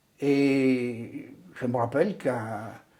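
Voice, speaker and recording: A man talks at a fairly high pitch. The tone comes across dark and mellow. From Brittany, Côtes-d'Armor. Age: 80s+. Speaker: retired trade unionist. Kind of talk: oral history interview. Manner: hesitant, repeats words.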